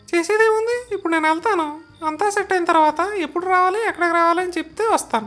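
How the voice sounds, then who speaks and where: A woman talks at a fairly quick pace in a put-on character voice, with music playing in the background. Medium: comedy sketch. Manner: terse, dry, sarcastic.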